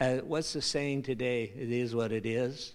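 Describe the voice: At a slow pace, a man speaks with a medium pitch and a slightly mellow tone.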